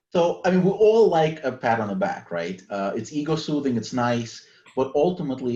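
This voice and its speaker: The intonation this man uses is lively. He moves along at a fairly quick pace. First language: not English (English is third language). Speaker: author. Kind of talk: casual chat.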